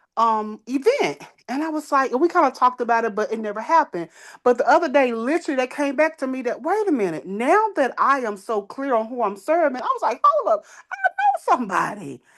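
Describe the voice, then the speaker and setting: A woman's high, animated voice with very wide pitch swings at a fairly quick pace. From Texas, Dallas. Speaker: transitional housing operator. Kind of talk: casual chat.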